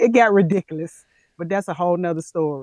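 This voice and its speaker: A woman with a Southern US accent at a fairly quick pace, in a dry, close sound with no echo. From US South, Tennessee. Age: 50s. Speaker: plant-based health coach. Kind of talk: interview conversation. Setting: live video stream.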